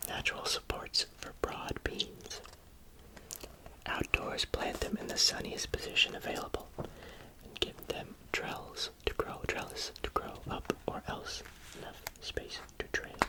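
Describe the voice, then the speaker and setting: A man whispers at a fairly slow pace. Noticeable background noise sits behind him. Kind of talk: ASMR book reading. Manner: whispered; soft, slow, relaxing.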